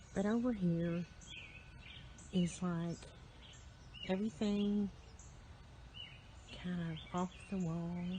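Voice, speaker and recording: Long, frequent pauses mark this woman's speech. She whispers very slowly. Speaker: farm and garden vlogger. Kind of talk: casual garden tour vlog. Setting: outdoors on a garden bench. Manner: whispering; relaxed with filler ums.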